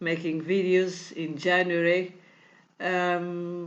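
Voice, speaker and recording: With a Portuguese accent, a woman talks in a fairly low pitch and a monotone, flat intonation, with audible room echo around her. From Portugal. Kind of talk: tutorial. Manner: halting, many fillers; non-fluent English.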